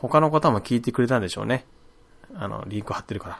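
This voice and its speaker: The speaker is a man with lively intonation. He talks very fast. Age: 30s. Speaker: podcast host. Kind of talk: casual solo talk.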